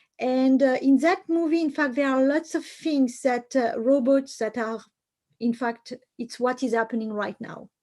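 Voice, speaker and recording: At a fairly slow pace and with ordinary pitch variation, the speaker talks in a French accent on a very clean recording with a silent background. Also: woman. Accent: French accent, still noticeable. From France. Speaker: computer science professor. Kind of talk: lecture. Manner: halting, many fillers.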